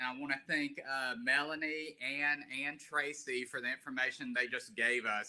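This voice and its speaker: With a strong Southern US accent, a man talks in a fairly high, bright, sharp voice with lively intonation. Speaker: lawyer. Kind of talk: guest talk at online seminar.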